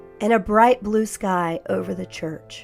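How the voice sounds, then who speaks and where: A woman's gentle, medium-pitched voice with an American accent, lively intonation and a fairly slow pace over background music. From Florida. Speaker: vlogger. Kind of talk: calm vlog narration. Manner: slow, gentle.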